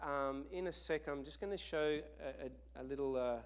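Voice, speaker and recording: With an Australian accent, this man talks at a moderate speed. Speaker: missionary. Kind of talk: sermon. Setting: church.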